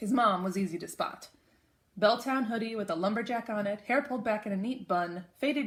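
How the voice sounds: The clip holds a natural reading voice. It is someone reading.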